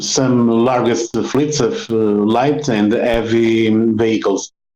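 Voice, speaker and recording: A man's very slow speech, dark and mellow in tone, with fairly even intonation. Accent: Portuguese. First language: Portuguese. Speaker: road safety consultant. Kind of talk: interview. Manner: halting, many fillers.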